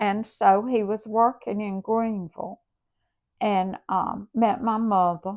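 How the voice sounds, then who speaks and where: With a Southern US accent, a woman talks at a very slow pace in a fairly high voice, her intonation fairly even. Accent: Southern American. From South Carolina. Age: 80s+. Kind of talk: interview answer.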